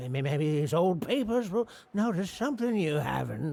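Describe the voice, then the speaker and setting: Using a put-on character voice, a man speaks at a moderate pace and a high pitch. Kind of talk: homespun old-timer talk. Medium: video game. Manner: folksy, rambling, hesitant.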